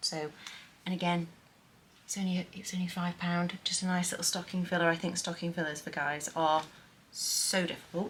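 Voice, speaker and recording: A woman with a British accent speaks quietly at a moderate pace in a fairly low pitch. Her intonation is monotone and flat, broken by long, frequent pauses. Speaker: lifestyle vlogger. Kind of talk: haul / gift guide vlog. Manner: casual, chatty; speaking quietly.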